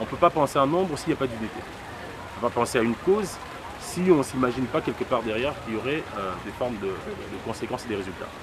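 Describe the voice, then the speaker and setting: Over noticeable background noise, a man speaks at a very fast pace. His voice is medium-pitched with lively intonation. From DR Congo. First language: Lingala (speaking French). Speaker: political activist. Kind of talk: interview monologue. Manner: hesitant with many fillers.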